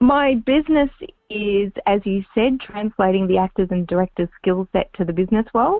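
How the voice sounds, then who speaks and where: A woman in an Australian accent, with lively intonation. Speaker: public speaking and on-camera coach. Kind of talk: interview.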